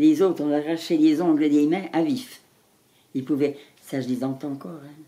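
This woman talks at a fairly slow pace in a very deep, low pitch, with fairly even intonation and a dark, mellow tone. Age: 80s+. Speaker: former wartime Resistance member. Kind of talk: interview answer. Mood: moved, grave recollection. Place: home room.

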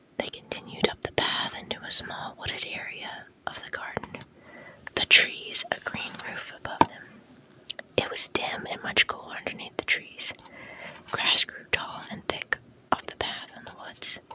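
A woman whispers with long, frequent pauses and big swings in loudness. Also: moderate pace. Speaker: ASMR artist and author reading her own book. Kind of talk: whispered audiobook-style reading. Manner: whispered, soft.

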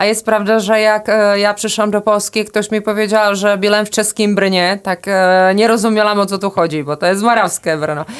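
A woman at medium pitch talks at a moderate pace with hardly any pauses, very even loudness, and fairly even intonation. The recording is very clean with a silent background. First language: Czech (speaking Polish). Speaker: tourism agency director. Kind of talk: interview. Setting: studio.

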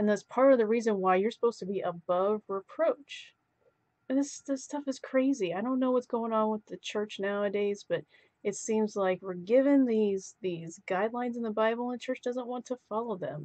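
A woman's dark, mellow tone with ordinary pitch variation, over a quiet background. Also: moderate pace. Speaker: vlogger. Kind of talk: casual vlog commentary. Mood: frustrated, indignant. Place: home room. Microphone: webcam.

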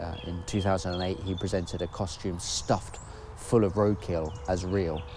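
A man speaks over music in the background, the sound dry with no echo. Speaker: video essay host. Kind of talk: scripted commentary. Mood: dry, sardonic. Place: forest.

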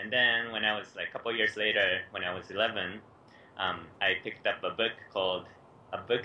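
This man talks at a moderate pace. Light background noise sits behind him. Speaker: remote interview guest. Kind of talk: interview answer. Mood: cheerful, laughing often. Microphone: video call.

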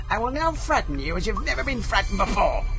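Over loud background noise, a put-on character voice growls out words at a very fast pace. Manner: menacing, growling.

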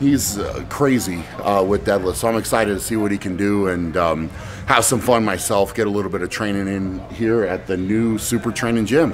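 Over light background noise, a man talks at a moderate pace with hardly any pauses, using a fairly low pitch with ordinary variation. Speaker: strength athlete vlogger. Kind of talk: casual vlog chat. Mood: upbeat, relaxed. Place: office. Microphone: phone near.

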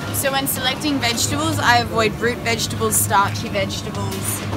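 A woman speaks over loud music in the background. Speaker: vlogger. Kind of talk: casual vlog chat. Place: shop. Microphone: phone near.

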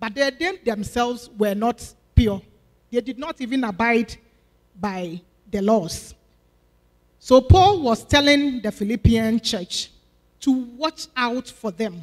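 The speech comes at a very slow pace with long, frequent pauses and big swings in loudness over a quiet background. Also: woman. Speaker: deaconess preaching. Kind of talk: sermon. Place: church. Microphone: handheld.

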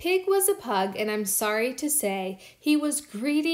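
Someone reads in a natural voice.

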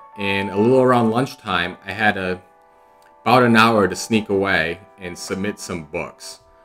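Faint music plays in the background as a man speaks fairly slowly in a fairly low voice with ordinary pitch variation. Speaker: comic collector vlogger. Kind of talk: casual vlog chat. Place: home room. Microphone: webcam.

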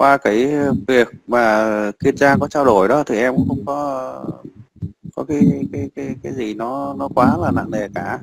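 A man's voice with vocal fry, medium in pitch, ordinary in pitch variation, at a fairly slow pace.

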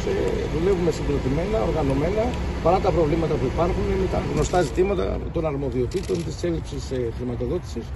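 A man talking at a very fast pace over loud background noise, with a dry sound and no echo. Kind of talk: press statement. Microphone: handheld.

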